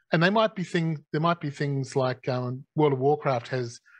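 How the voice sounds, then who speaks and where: There's a somewhat breathy quality to this man's voice. His pitch is medium. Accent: Australian. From Australia. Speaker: gaming company executive. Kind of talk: live Q&A session.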